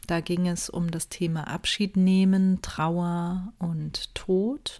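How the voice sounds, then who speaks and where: Against a silent background in a very clean recording, a woman speaks very slowly in a fairly low, calm and soothing tone with monotone, flat intonation. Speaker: podcast host and meditation guide. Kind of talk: guided meditation. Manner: calm, slow, soothing, with long pauses; soft-spoken, gentle.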